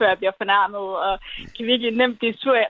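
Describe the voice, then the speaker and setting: A woman speaks at a very fast pace. Her intonation is fairly even. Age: 20s. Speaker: caller. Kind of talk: casual chat on call-in radio. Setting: phone call.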